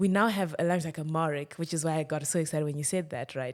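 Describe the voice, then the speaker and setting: On a very clean recording with a silent background, a woman speaks in a fairly low voice with a Zimbabwean accent. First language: Shona. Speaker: tech startup founder and CEO. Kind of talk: casual podcast conversation. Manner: animated.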